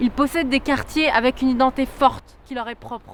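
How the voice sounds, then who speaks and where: A high-pitched woman at a moderate pace against noticeable background noise. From France, Lyon. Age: 20s. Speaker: political candidate. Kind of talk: campaign statement.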